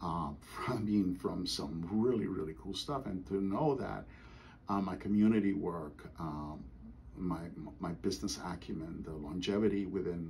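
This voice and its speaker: Vocal fry runs through a man's very deep, low voice. His intonation is lively and his pace moderate. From Costa Rica. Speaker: karate grand master. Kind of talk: oral history interview answer.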